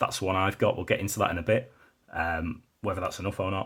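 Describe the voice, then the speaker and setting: Here a man with a British accent talks at a fairly quick pace, his fairly low voice somewhat breathy with ordinary pitch variation. The recording is very clean, with a silent background. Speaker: tech reviewer. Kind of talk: product review. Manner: casual, with fillers.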